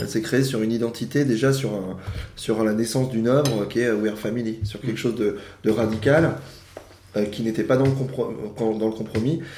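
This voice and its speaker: Audible room echo follows a man speaking at medium pitch and a moderate pace, with ordinary pitch variation. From France, Yvelines (Paris region). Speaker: improv actor. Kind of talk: casual interview chat. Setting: home living room at brunch table.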